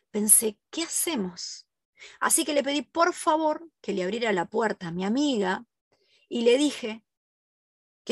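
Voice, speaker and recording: In a Rioplatense accent, a woman with a fairly high, somewhat breathy voice talks at a moderate pace with lively intonation, the sound dry and close with no echo. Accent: Argentine Rioplatense Spanish. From Argentina, southern (Ushuaia). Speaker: podcast host, forensic criminologist. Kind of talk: first-person testimony narration.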